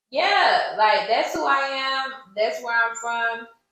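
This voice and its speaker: Her intonation is lively, and her pitch is fairly high for a woman as she talks very slowly. The room echo is audible. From US military bases (Army family), moved around. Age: 30s. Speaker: podcast host and singer. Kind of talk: casual chat answering audience questions. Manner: animated.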